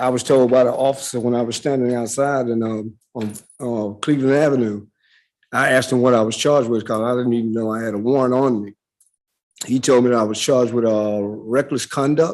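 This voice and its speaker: Someone speaks with a Southern US accent at a fairly quick pace. The intonation stays fairly even. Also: man, medium pitch for a man. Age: 60s. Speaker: defendant. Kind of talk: court testimony. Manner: halting.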